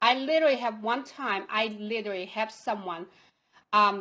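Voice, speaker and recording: At a moderate pace, a woman with a non-native accent speaks in a fairly high, bright, sharp voice with ordinary pitch variation on a very clean recording with a silent background. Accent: foreign accent, non-native English. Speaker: online marketing coach. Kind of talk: live video training talk. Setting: Facebook Live broadcast.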